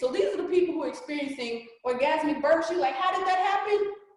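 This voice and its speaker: A woman speaks with ordinary pitch variation. Audible room echo surrounds her voice. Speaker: reiki practitioner and energy coach. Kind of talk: workshop presentation. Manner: fast; casual, informal.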